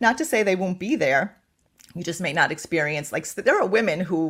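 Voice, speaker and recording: With lively intonation and a moderate pace, a woman talks at a medium pitch in an unremarkable speaking voice. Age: 60s. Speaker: menopause expert and health coach. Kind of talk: interview.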